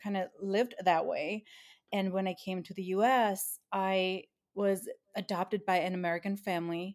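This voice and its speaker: Monotone and flat, a woman's medium-pitched voice moves at a moderate pace. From northeast Thailand (Isan). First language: Thai. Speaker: food blogger. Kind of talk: casual interview.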